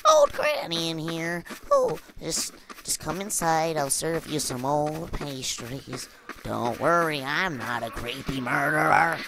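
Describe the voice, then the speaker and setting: A man uses a put-on character voice at a fairly high pitch and a fairly slow pace. His intonation stays fairly even, and background noise comes through clearly. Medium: solo performance. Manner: coaxing, falsely reassuring.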